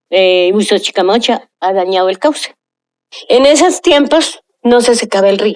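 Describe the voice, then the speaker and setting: The intonation here is lively. It belongs to a woman. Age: 70s. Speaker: local resident. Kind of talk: interview testimony. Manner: halting, with false starts.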